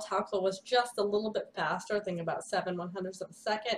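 A woman at a very fast pace. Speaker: horse racing analyst. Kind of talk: commentary. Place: home room. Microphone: webcam.

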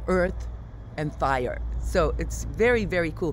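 Light background noise runs beneath a woman talking at a moderate pace. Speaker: travel vlogger. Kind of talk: casual vlog chat. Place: street. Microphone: phone near.

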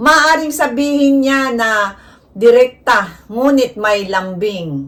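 Speaking at a very slow pace, a woman delivers her words. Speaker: vlogger. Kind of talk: informal tutorial to camera. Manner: flat, not sweet-toned; direct, plain delivery.

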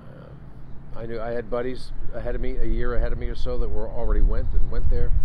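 A man talks at a fairly quick pace with music in the background. The sound is dry, with no echo. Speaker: interview host. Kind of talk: interview conversation. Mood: reflective, somber. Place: street.

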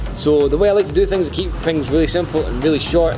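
A very fast, enthusiastic man with a Scottish accent, over noticeable background noise. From Scotland. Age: 20s. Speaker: crypto promoter vlogger. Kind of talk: casual talk to camera. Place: waterside. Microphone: phone near.

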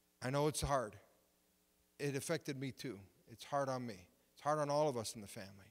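A very fast voice with an Ontario accent, long, frequent pauses and a quiet background. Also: man, medium pitch for a man, ordinary pitch variation, big swings in loudness. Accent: Canadian (Ontario). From Canada, Windsor, Ontario; Ontario, Canada. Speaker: pastor. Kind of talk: sermon. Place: church. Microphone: handheld.

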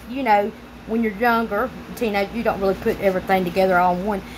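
Noticeable background noise runs under the recording. A woman speaks in a Southern US accent. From Louisiana. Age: 30s. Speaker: YouTuber. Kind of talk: casual commentary and reading aloud. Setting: home recording for video channel. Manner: rambling, conversational.

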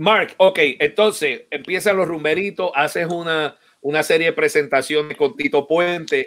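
Against a quiet background, a man speaks at a fairly slow pace with a high pitch and ordinary pitch variation. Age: 50s. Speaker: percussionist and online show host; online show host. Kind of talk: live-streamed interview. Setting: online live stream. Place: home room.

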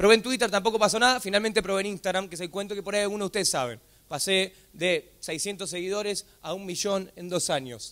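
This man speaks at a fairly quick pace in a high pitch, with an animated tone and ordinary pitch variation. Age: 20s. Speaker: comedian. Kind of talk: motivational talk.

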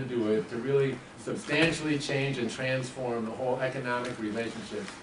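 Fairly quick speech from a man, with noticeable noise behind it. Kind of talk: opening speech. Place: meeting room. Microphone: camera far.

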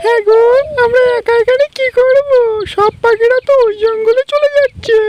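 The voice is a cartoonish character voice. It moves at a moderate pace. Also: female-sounding voice, extremely high pitch for a woman.

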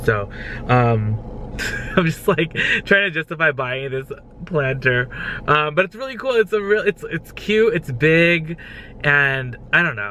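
A man at a fairly slow pace with long, frequent pauses and very wide pitch swings, in a dry sound with no echo over light background noise. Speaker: vlogger. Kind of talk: casual vlog chat. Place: car. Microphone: phone near.

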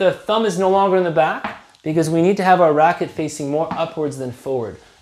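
The voice has lively intonation. Light background noise and audible room echo come through. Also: man. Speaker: badminton coach. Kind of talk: tutorial. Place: home room. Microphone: camera far.

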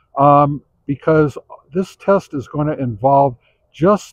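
The sound is dry and close, with no echo. A man speaks at a medium pitch with lively intonation.

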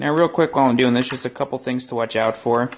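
Talking at a fast pace, a man with a medium pitch shows ordinary pitch variation.

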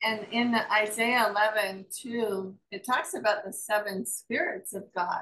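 The speech moves at a fairly slow pace with hardly any pauses and ordinary pitch variation. Light background noise sits underneath. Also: woman, fairly high pitch for a woman. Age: 60s. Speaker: pastor. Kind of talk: group Bible study discussion. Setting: video call. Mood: calm, reflective. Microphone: video call.

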